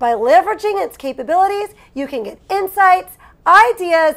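Over a quiet background, a woman with a bright, sharp tone speaks fairly slowly, her pitch swinging very widely. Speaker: online seller, channel host. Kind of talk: tutorial. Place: home room.

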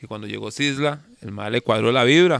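A fairly quick pace in a dry sound with no echo. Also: man. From Costa Rica, Calle Blancos (San José area); Costa Rica. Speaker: reggae singer; guest. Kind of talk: casual interview. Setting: outdoors in the jungle. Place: garden. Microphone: studio mic.

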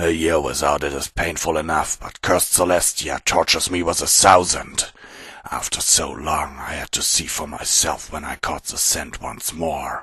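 Doing a put-on character voice, a man speaks at a moderate pace in a raspy, very deep, low voice. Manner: cold, eerie.

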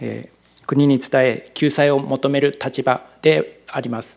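Against a quiet background, a man speaks with a fairly high pitch. His delivery is fairly slow and monotone, with flat intonation. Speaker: city government section chief. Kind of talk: formal official answer. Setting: council chamber. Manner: halting, many fillers. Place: hall. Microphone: podium.

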